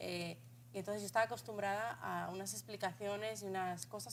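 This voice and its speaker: The voice belongs to a woman and sits at a medium pitch. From Spain. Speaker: talk show host. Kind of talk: interview.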